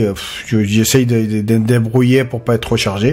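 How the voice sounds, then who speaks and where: Medium-pitched male voice with a South American accent in a flat monotone. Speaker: pipe welder. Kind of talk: casual video talk. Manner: halting, many fillers and repetitions.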